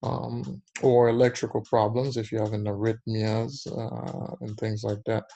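A man's medium-pitched, somewhat breathy voice with a dark, mellow tone, ordinary pitch variation and a fairly slow pace. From Haiti. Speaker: cardiologist. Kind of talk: educational interview.

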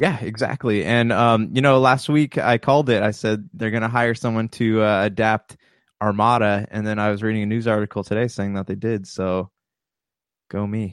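In a plain, everyday voice, a man speaks at fairly low pitch and a moderate pace with fairly even intonation. The sound is dry and close with no echo, over a quiet background. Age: 30s. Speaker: podcast co-host. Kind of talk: casual chat.

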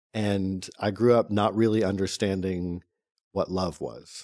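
A man with an American accent speaks at a fairly slow pace and fairly low pitch. His tone is dark and mellow, his intonation fairly even, and the background quiet. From North Carolina, US South. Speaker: non-profit founder. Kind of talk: interview. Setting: studio.

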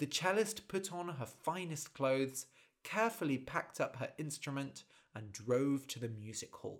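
A man speaks with a British accent and lively intonation. His voice is fairly high in pitch. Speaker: podcast host and storyteller. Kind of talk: storytelling narration; casual explanation for English learners. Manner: slow, clear for learners.

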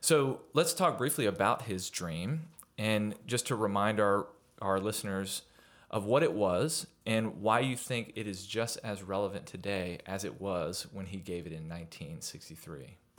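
A man speaks fairly slowly in a plain, everyday voice at fairly low pitch, with lively intonation and big swings in loudness. The recording is very clean, with a silent background. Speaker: podcast host. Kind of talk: podcast interview. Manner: warm, upbeat.

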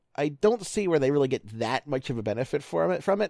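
A man talking at a very fast pace with very wide pitch swings, in a dry, close sound with no echo on a very clean recording with a silent background. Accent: American. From Baltimore area, Maryland. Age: 30s. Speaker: baseball analyst. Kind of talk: casual chat.

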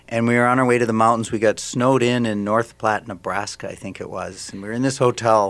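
Speaking in an American accent, a man talks very fast with hardly any pauses, at medium pitch and in a monotone, flat intonation. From Minnesota, Saint Paul. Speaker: ballet company director, former dancer. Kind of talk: radio interview. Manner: halting.

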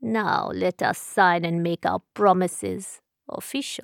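A woman uses a put-on character voice at a medium pitch, speaking at a fairly slow pace. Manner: calm, still, formal.

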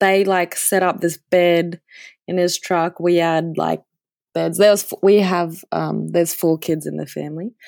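A woman of medium pitch speaks in an Australian accent at a fairly slow pace. Her intonation is fairly even, and the sound is dry and close with no echo. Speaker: professional downhill mountain biker. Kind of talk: casual interview chat. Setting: video call from quarantine hotel.

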